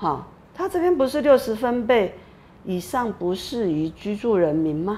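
A woman speaks at a moderate pace in a dark, mellow tone. Her pitch sits fairly high and swings very widely. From Taiwan, New Taipei (Xinzhuang); Taiwan. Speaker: activist facing eviction. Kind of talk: interview testimony. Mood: earnest, somewhat aggrieved. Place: studio. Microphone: lapel.

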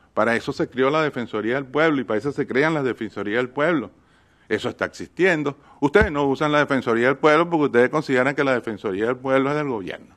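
Against a quiet background, a man with a medium-pitched voice talks at a very fast pace with ordinary pitch variation. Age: 60s. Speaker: state representative. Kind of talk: hearing testimony. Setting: hearing room.

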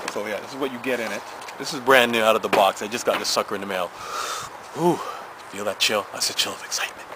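The man's voice has a dry sound with no echo, and noticeable background noise runs underneath. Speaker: paintball gear reviewer. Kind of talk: casual product review chat. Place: garden.

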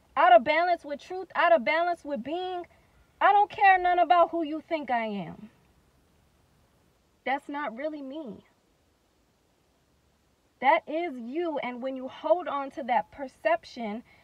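A woman speaks at a high pitch and a fairly slow pace, with long, frequent pauses. The sound is dry, with no echo. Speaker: spoken word poet. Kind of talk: spoken word poetry performance. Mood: earnest, reflective, defiant. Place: car. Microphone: phone near.

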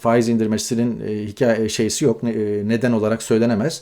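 A man speaks at medium pitch in a dark, mellow tone. The recording is very clean, with a silent background. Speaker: news commentator. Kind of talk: news commentary monologue. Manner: conversational, frequent filler hesitations.

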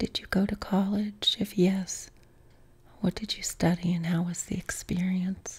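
Soft-spoken and gentle in tone, a woman talks at a fairly slow pace in a somewhat breathy, monotone, flat delivery. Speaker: vlogger answering viewer questions. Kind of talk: casual Q and A chat. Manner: soft-spoken, gentle low-volume reading. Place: home room.

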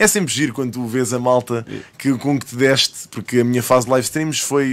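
This man speaks in a European Portuguese accent. His pitch is medium and his pace moderate. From Portugal. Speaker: rapper and streamer; interview guest, live streamer. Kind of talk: casual chat. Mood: relaxed, friendly. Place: studio. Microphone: studio mic.

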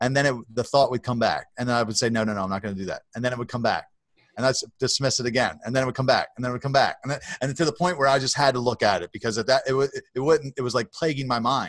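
A man with an American accent at a very fast pace, ordinary pitch variation, dry sound with no echo and a quiet background. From Baltimore, US. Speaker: author and nonprofit founder; podcast guest. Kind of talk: testimony. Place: office.

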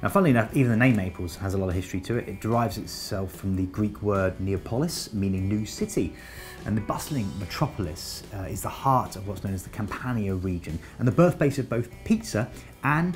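Faint music plays behind a man speaking in a fairly low voice. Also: fairly quick pace. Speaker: presenter. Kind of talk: presenter talk to camera. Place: studio. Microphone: lapel.

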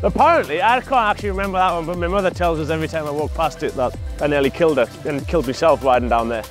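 A man talks at a very fast pace with a Geordie accent. The sound is dry with no echo, and faint music plays in the background. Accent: Geordie (Newcastle English). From Newcastle, England. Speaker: professional enduro motorcycle racer. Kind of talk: casual talk to camera while touring hometown. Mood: cheerful, nostalgic. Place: garden.

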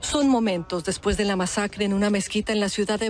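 A woman with a plain, everyday voice, medium pitch and fairly even intonation. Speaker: news reporter. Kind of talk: news reading. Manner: grave, measured, solemn narration.

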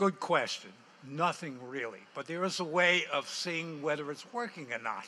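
A man talks at a moderate pace in a bright, sharp tone. His pitch is fairly high, with ordinary pitch variation.

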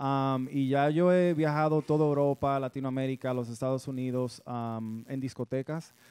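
The man's voice has a dark, mellow tone. He speaks at a moderate pace with fairly even intonation. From US Northeast, Bronx, New York, Dominican family; New York. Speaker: bachata singer; guest. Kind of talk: TV interview. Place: studio. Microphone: studio mic.

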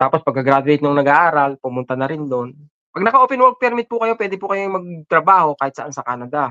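The speech comes at a very fast pace. Behind it, the background stays quiet. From Philippines. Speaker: podcast co-host. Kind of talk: casual chat. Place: home room. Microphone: video call.

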